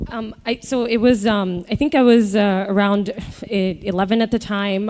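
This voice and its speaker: At a moderate pace, a woman with an American accent speaks at a medium pitch with fairly even intonation. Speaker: startup founder. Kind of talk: live podcast interview. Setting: stage with live audience. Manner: halting, many fillers.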